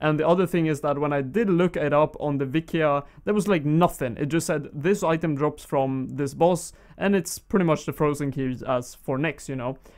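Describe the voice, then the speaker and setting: In a Swedish accent, a man talks at a moderate pace with a fairly high pitch and ordinary pitch variation. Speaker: gaming YouTuber. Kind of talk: gameplay commentary. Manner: casual, with frequent fillers.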